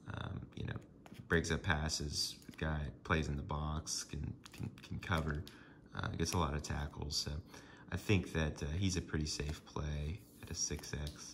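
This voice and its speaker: This man has a very deep, low voice and a somewhat breathy sound, speaking at a fairly slow pace with fairly even intonation. Light background noise is present. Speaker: sports card collector. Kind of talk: casual talk to camera. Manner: monotone, downtrodden. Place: home room. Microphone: phone near.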